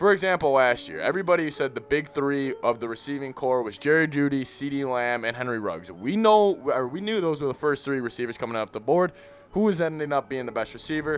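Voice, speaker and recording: Over music in the background, a man speaks at a fairly quick pace with lively intonation and hardly any pauses. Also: fairly high pitch for a man. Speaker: sports podcaster. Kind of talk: casual solo commentary.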